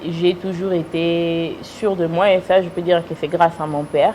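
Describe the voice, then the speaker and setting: Noticeable background noise sits behind this recording. A woman with a fairly low pitch talks at a fairly slow pace. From United States. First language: English (speaking French). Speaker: businesswoman and influencer. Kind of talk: interview. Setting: TV studio. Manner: hesitant.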